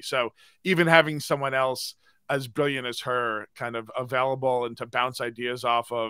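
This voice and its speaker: This man has a bright, sharp tone and an American accent, speaking at a moderate pace with fairly even intonation. The sound is dry with no echo, against a quiet background. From US East Coast. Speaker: audio storytelling consultant; podcaster. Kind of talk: live stream interview. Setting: video call. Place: home room. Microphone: studio mic.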